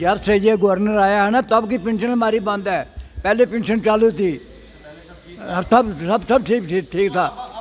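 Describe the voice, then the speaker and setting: Noticeable background noise sits behind a man who speaks with a high pitch. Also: ordinary pitch variation. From Pakistan-administered Kashmir. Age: 80s+. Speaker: pensioner at protest. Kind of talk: street interview.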